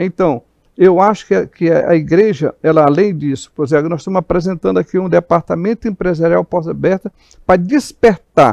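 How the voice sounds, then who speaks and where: A man's high-pitched voice, with a dry, close sound and no echo. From Maranhão, Brazil (Imperatriz). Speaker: pastor, church president. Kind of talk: interview talk show.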